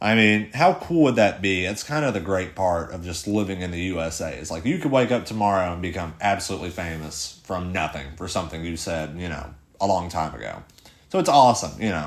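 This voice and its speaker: A man with a very deep, low pitch talks at a fairly quick pace, with audible room echo around him. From Tennessee. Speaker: podcast host. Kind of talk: casual rant monologue. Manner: halting, many fillers and repeats.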